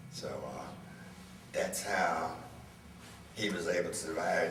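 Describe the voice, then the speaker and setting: A man at a fairly slow pace, with noticeable background noise and audible room echo. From US South, rural Citrus County, Florida. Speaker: oral history interviewee. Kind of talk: oral history interview.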